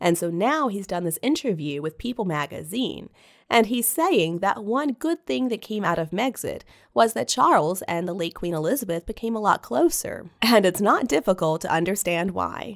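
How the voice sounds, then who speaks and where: Very wide pitch swings from a woman at a medium pitch and moderate pace, in a very clean recording with a silent background. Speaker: royal news commentator. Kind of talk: casual commentary monologue.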